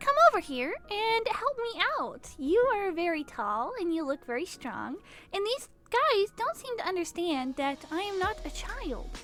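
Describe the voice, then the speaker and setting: Using a put-on character voice, a woman speaks at a moderate pace with an extremely high pitch and very wide pitch swings. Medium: actual play. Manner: confident, tart.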